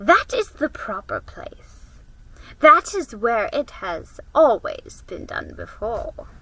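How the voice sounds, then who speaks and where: A woman puts on a character voice, high in pitch. She speaks at a very slow pace. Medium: read story. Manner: cold, imperious.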